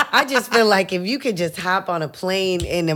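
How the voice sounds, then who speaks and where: Here is a woman with a plain, everyday voice at a fairly low pitch. Her intonation is lively. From Puerto Rican heritage, US. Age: 30s. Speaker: hairdresser. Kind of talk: casual chat.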